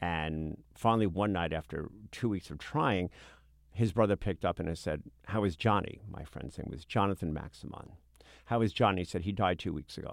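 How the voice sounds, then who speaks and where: In a very clean recording with a silent background, a man speaks at a very deep, low pitch with an American accent. His pitch variation is ordinary and his pace moderate. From US Northeast (Brooklyn, New York). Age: 60s. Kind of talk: interview conversation.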